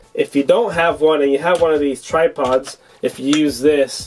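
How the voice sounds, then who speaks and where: Over noticeable background noise, a man talks at a moderate pace with ordinary pitch variation. His pitch is fairly high. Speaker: tech product reviewer. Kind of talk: product review tutorial.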